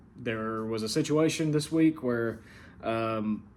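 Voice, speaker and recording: In a room with audible echo, a man speaks at a medium pitch with lively intonation. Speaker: online gaming league commissioner and show host. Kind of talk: casual recap talk. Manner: casual, many fillers.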